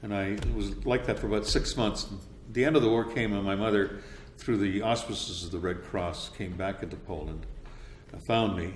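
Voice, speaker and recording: In a Canadian accent, a man talks at a fairly low pitch with ordinary pitch variation, and audible echo fills the room. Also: moderate pace. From Canada, Winnipeg. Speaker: radio voice-over announcer. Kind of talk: interview.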